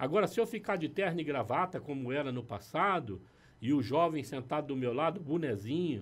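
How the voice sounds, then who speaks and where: A man with an unremarkable speaking voice, fairly high pitch, lively intonation and a moderate pace. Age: 60s. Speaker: pastor. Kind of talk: casual chat. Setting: studio.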